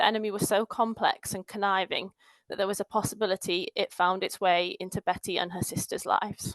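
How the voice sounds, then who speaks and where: Northern English accent from a woman, fairly quick and monotone with flat intonation, in a dry, close sound with no echo. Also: medium pitch for a woman. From northern England. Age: 20s. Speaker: patient advocate. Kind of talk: conference talk, telling a personal story. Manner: storytelling.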